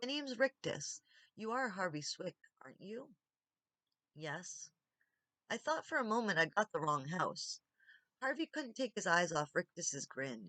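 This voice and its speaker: A woman speaks at medium pitch in a bright, sharp tone, with very wide pitch swings and long, frequent pauses. The sound is dry and close, with no echo. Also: fairly slow pace, big swings in loudness. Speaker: audiobook reader. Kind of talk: audiobook reading.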